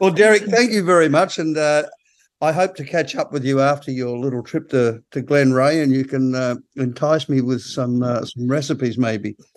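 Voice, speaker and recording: Here a man with an Australian accent speaks at a moderate pace. His pitch is fairly high, with ordinary variation. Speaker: podcast host. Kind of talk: casual interview.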